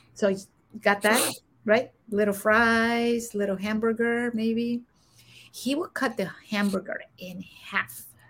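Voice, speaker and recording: A woman with a Spanish accent, fairly high pitch and fairly even intonation, at a very slow pace with long, frequent pauses. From Guatemala. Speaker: executive coach and former Air Force senior enlisted leader. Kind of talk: interview testimony.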